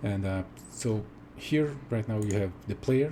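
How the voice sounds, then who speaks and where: A man with a fairly low, dark, mellow voice speaks at a moderate pace with lively intonation. His delivery is somewhat breathy. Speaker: game tool developer. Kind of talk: software demo. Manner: whispered, soft; halting, many fillers.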